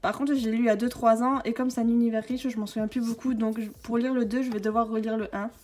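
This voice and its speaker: A woman speaks at a very fast pace with hardly any pauses, her intonation monotone and flat. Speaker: book YouTuber. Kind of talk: casual video tour. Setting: home, handheld camera. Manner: hesitant, many filler sounds; whispering briefly.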